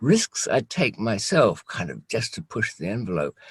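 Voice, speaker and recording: The voice carries vocal fry at a fairly slow pace. The background is quiet. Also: man. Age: 60s. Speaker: former smuggler, channel host. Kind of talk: casual interview chat. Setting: Skype call. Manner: halting, many fillers.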